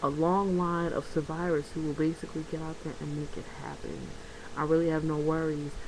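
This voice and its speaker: A woman speaks quietly at a fairly quick pace, her very deep, low voice flat and monotone. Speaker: vlogger. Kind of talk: casual vlog monologue. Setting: at home, bedroom. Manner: quieter.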